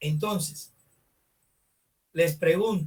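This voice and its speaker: A man with a high pitch, at a very slow pace, with fairly even intonation. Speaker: teacher. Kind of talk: online class lecture. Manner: loud. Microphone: far from the computer mic, quiet.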